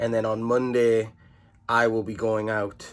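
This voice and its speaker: Medium in pitch, a man's voice moves at a fairly slow pace. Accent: English. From England. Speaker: vlogger. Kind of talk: casual vlog talk to camera. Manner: hesitant, many fillers.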